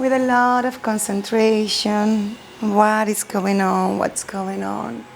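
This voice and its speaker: A woman speaks very slowly at a medium pitch in a calm, soothing tone. Noticeable background noise can be heard. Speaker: chair yoga instructor. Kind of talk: guided chair yoga class. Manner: calm, slow, soothing.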